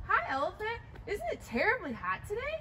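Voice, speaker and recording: A woman's put-on character voice, squeaky and extremely high, at a fairly quick pace over clear background noise. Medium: read story. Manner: sly, wheedling.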